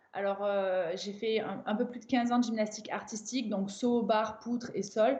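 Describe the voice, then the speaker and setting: A woman with a fairly high pitch talks at a moderate pace with hardly any pauses. Her intonation stays fairly even over noticeable background noise. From southern France, Avignon. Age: 30s. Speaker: crossfit coach and athlete. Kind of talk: interview.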